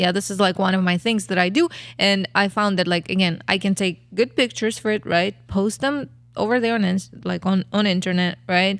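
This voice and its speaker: In a very clean recording with a silent background, a woman with a Kazakh accent speaks at a fairly quick pace and a medium pitch, with ordinary pitch variation and very even loudness. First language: not English. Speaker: podcast co-host, photographer. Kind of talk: casual chat.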